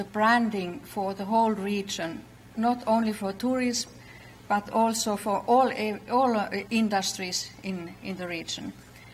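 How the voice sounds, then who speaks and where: A woman with a Finnish accent speaks fairly slowly at medium pitch, with fairly even intonation and audible room echo. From Finland, Lapland. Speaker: conference speaker, regional branding manager. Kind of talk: conference talk. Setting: stage with audience. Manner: halting, many fillers.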